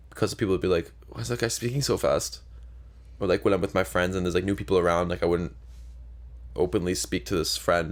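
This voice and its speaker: A man with a Canadian accent mumbles at a very fast pace in a very deep, low voice with vocal fry and very wide pitch swings. Long, frequent pauses break up his speech, and the recording is very clean with a silent background. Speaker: podcast co-host. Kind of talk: casual chat. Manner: mumbling.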